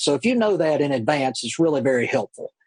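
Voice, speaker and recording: A man with an American accent talks at a very fast clip in a fairly high voice. His pitch rises and falls in an ordinary way. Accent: Mississippi southern with Cajun touch. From US South, Tylertown, Mississippi. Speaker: car dealership finance manager. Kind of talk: interview. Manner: fairly fast.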